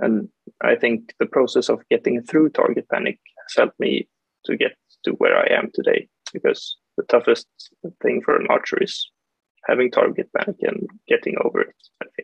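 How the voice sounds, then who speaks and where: Using long, frequent pauses at a moderate pace, a man talks with a Swedish accent. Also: quiet background, dry sound with no echo. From Sweden, Stockholm; Sweden. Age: young. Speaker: archer; guest. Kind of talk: interview. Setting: video call. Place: home room. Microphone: video call.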